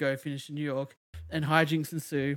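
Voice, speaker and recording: In monotone, flat intonation, a man speaks at a fairly quick pace and a fairly high pitch. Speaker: podcast host. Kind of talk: casual chat. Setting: streaming online from home. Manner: talkative, interrupts often.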